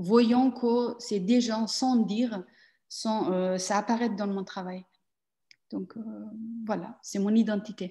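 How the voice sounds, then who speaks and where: A woman's fairly high, somewhat breathy voice with a dark, mellow tone, at a very slow pace with long, frequent pauses, over a quiet background. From Afghan family, grew up in Iran and Pakistan. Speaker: performance artist. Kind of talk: interview. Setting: video call. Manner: halting.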